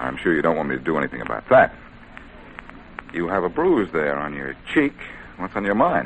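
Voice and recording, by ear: Using a put-on character voice, a man speaks at an extremely low pitch with big pitch swings and a fairly quick pace.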